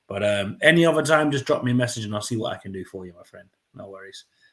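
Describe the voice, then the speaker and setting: Fairly quick, somewhat breathy male speech with ordinary pitch variation. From London, England. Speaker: football fan channel host. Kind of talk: live match watchalong commentary. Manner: casual, chatty; animated during play.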